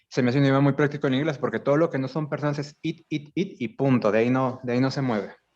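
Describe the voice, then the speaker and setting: Speaking with a Mexican accent at a very fast pace with hardly any pauses, a man uses a fairly high pitch and fairly even intonation. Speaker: language teacher, student in a class. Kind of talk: class discussion.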